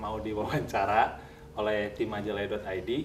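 A man's fairly low, monotone, flat voice with audible room echo and faint music in the background. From Majalaya, West Java, Indonesia; West Java, Indonesia. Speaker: video host. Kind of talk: interview. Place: home room. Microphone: lapel.

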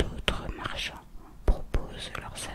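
The voice is whispering. It moves at a very slow pace. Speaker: ASMR creator. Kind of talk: whispered ASMR reading of an art book. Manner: whispered. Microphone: studio mic.

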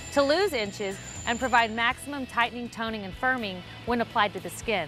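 A woman talks at a fairly quick pace over clear background music, the sound dry with no echo. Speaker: fitness trainer. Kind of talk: TV commercial read. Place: garden. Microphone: lapel.

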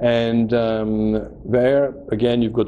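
Over light background noise, a man talks with monotone, flat intonation. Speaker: stamp auction specialist. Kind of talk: promotional presentation to camera. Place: office.

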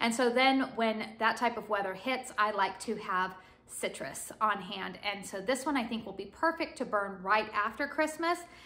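A woman with an American accent and a fairly high pitch speaks at a moderate pace with lively intonation and hardly any pauses. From California. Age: 30s. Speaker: beauty and home fragrance YouTuber. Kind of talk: product review haul video. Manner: casual, chatty. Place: home room. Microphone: phone near.

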